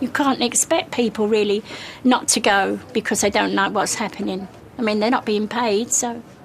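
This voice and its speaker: Against noticeable background noise, a woman speaks at a moderate pace, fairly high in pitch and fairly even in intonation. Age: 80s+. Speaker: charity shop volunteer. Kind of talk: heated discussion.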